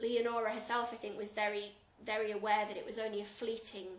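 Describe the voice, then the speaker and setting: There is noticeable background noise behind this woman's voice. She talks at a fairly quick pace and fairly high pitch, with monotone, flat intonation. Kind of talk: interview answer.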